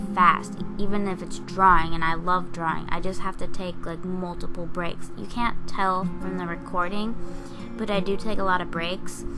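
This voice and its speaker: A woman's voice carries audible room echo while music plays behind her. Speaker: digital artist. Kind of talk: casual narration over speedpaint. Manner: fast.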